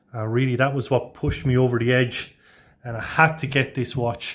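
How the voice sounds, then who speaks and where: In an Irish accent, a medium-pitched man speaks at a moderate pace with fairly even intonation on a very clean recording with a silent background. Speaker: watch reviewer, channel owner. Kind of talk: product review. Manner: casual, hesitant with fillers.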